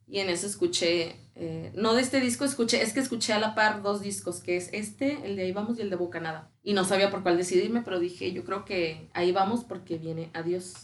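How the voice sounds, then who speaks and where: A medium-pitched female voice with vocal fry at a fairly quick pace. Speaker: actress. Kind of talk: casual chat.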